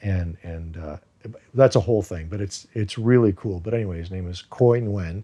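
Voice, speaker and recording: In a quiet background, a man with a dark, mellow tone and a fairly low pitch talks at a fairly quick pace with ordinary pitch variation. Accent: American. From US, raised from age two after birth in Iran. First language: Farsi. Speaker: actor. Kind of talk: interview. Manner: casual, many fillers.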